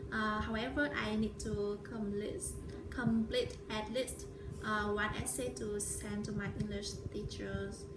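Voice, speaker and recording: With a Vietnamese accent, a woman speaks at a very slow pace over noticeable background noise. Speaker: vlogger. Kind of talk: vlog monologue. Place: home room. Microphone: phone near.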